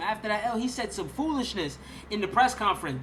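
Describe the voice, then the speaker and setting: A man with a high-pitched voice and an animated tone. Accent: New York. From New York. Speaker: sports YouTuber. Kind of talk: live stream sports commentary.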